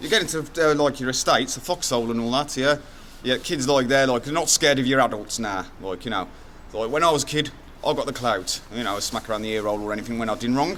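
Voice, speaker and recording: He talks at a very fast pace. The man's pitch shows ordinary variation. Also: medium pitch for a man. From English Midlands, Wolverhampton. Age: 40s. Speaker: local resident. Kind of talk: street interview.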